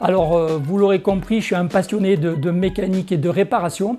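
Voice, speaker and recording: There is music in the background. A man with a high pitch speaks at a moderate pace, using ordinary pitch variation. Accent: southern French. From southern France, Agde (Hérault). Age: 50s. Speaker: sporting goods trainer and fishing enthusiast. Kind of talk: interview answers. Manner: hesitant, many fillers.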